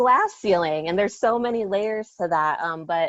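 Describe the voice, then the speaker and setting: A moderate pace in a Lao accent, with a dry, close sound and no echo. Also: woman. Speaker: educator. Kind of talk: panel discussion. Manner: direct.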